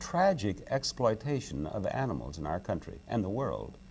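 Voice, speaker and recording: At a moderate pace, a man speaks at a medium pitch with very wide pitch swings and vocal fry. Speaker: game show host and animal rights advocate. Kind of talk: interview answer.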